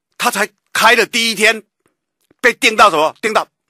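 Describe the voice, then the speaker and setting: A man speaks at a moderate pace with vocal fry and a bright, sharp tone. The sound is dry with no echo, over a quiet background. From Taiwan. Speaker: radio political commentator. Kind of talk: talk radio commentary. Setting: radio studio. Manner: animated, emphatic. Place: studio.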